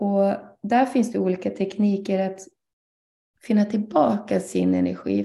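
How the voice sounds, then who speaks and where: A woman talks at a moderate pace, her voice carrying audible room echo. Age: 30s. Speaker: ADHD coach. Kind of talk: guest lecture in online live session. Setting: online live broadcast.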